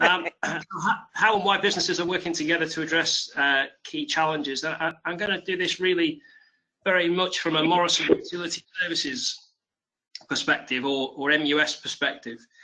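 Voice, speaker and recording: A man with a Liverpool accent, high-pitched and bright, sharp in tone, fairly quick, with ordinary pitch variation. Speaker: HR director. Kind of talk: webinar presentation. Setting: online webinar call. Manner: hesitant, repeats words.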